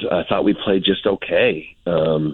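A man with a very deep, low pitch speaks at a fairly slow pace with fairly even intonation. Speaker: college softball coach. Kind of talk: radio interview.

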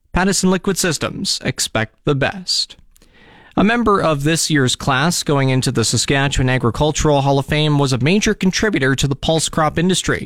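In a plain, everyday voice, a man talks at a fairly quick pace with fairly high pitch, lively intonation and very even loudness, on a very clean, dry, close recording with a silent background and no echo. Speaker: radio host. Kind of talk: radio news broadcast. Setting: studio. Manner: formal.

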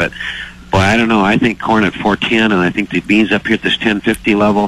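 With an American accent, a man talks at a fairly low pitch over noticeable background noise. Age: 60s. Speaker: commodity market advisor. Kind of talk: radio interview. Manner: halting, many fillers.

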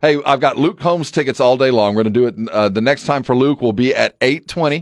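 This man has an unremarkable speaking voice, medium in pitch with ordinary pitch variation, in an American accent. The sound is dry and close with no echo, over a quiet background. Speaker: radio host. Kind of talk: casual sports radio banter. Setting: studio.

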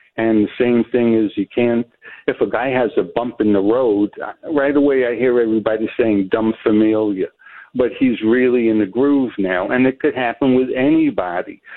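A man speaks in a New York accent at medium pitch and a moderate pace. His loudness stays very even and his intonation fairly even. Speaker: caller. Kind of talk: phone-in call.

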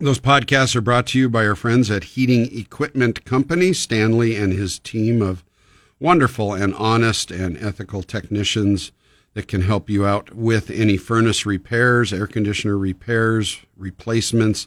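Recorded with a dry, close sound and no echo, a man with an American accent uses a normal speaking voice at a fairly low pitch, a moderate pace, and ordinary pitch variation. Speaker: radio host. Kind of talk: live radio call-in advice show. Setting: radio studio. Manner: friendly, conversational.

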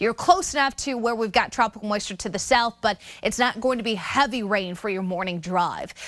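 A woman with a plain, everyday voice talks at a fairly quick pace, her pitch fairly high with ordinary variation. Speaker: meteorologist. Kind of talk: weather report. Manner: brisk; conversational.

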